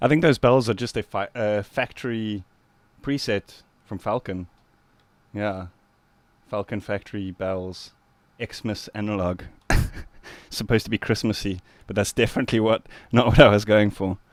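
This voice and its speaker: A man with a South African accent speaks at a moderate pace and fairly low pitch, with fairly even intonation. His loudness swings widely, pauses are long and frequent, and the sound is dry with no echo. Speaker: music producer streamer. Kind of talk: live stream tutorial. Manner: casual, relaxed. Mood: relaxed, friendly. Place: studio.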